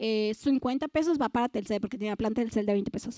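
Recorded dry and close with no echo, a woman with a Mexican accent speaks in an animated tone. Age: 20s. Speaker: youth speaker. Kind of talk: sermon.

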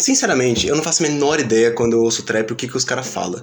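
The man's voice carries audible room echo, and background noise is noticeable too. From Rio de Janeiro, Realengo. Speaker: podcast host. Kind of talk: casual chat. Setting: studio.

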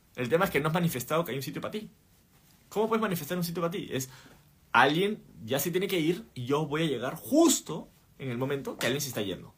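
An animated tone at a very fast pace, with lively intonation. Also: man, fairly high pitch for a man. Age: 30s. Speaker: podcast host and entrepreneur. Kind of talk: livestream talk. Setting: live stream.

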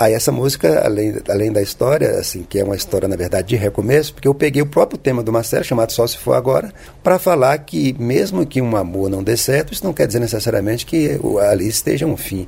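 A man talks very fast with lively intonation at a medium pitch, noticeable background noise behind him. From Brasília, Brazil (born Minas Gerais). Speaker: singer-songwriter. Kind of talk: interview.

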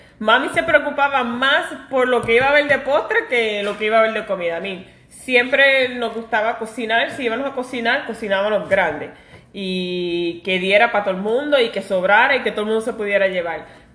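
Over noticeable background noise, a woman speaks at a fairly quick pace with a fairly high pitch and lively intonation. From New York. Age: 40s. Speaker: podcast co-host, pastry cook. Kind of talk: casual chat. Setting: at home.

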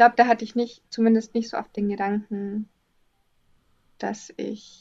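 A woman speaks quietly in a calm tone at a fairly high pitch, her intonation monotone and flat. She moves at a very slow pace with long, frequent pauses and big swings in loudness. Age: 20s. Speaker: artist. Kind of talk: casual interview. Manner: calm, quiet.

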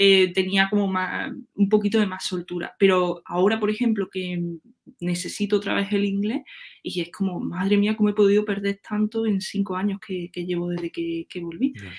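A woman with an ordinary speaking voice talks at a moderate pace, medium in pitch, with fairly even intonation. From Andalusia, Córdoba countryside. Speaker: web developer. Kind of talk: casual interview chat.

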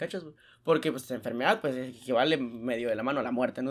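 Speaking with a Mexican accent, a man keeps a fairly quick pace. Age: 20s. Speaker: podcast co-host. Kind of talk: casual chat.

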